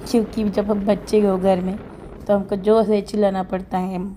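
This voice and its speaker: A woman's dark, mellow tone, monotone and flat, at a fairly slow pace. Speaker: vlogger. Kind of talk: casual vlog talk.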